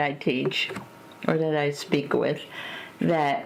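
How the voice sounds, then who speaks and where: A woman talks at a very slow pace against noticeable background noise. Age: 70s. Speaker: Holocaust survivor and speaker. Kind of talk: interview.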